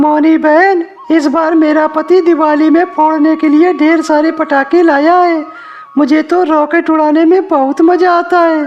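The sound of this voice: A cartoonish character voice speaks at a fairly slow pace, monotone and flat, with very even loudness. Clear background noise is present. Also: woman, extremely high pitch for a woman.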